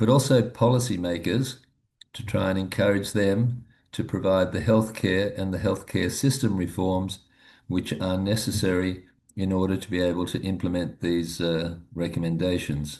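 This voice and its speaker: Over a quiet background, a man speaks at a moderate pace. His pitch is very deep and low, with ordinary variation. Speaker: medical professor presenting guidelines. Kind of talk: webinar presentation. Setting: live webinar. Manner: hesitant, with frequent fillers.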